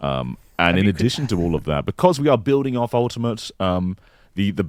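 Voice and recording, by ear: The voice is reading aloud in a natural voice. Its intonation is lively.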